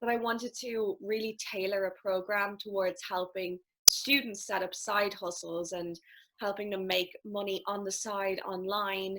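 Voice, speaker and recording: With a strong Irish accent, a woman speaks at a fairly slow pace and medium pitch, her intonation fairly even. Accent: thick Irish. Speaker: life and business coach. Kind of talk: casual interview chat.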